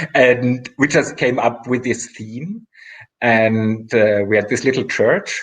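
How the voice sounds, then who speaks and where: With a non-native accent, a man speaks at a fairly slow pace in a medium pitch, with ordinary pitch variation. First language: not English. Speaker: artist. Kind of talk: casual interview chat. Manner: halting, with repetitions and fillers.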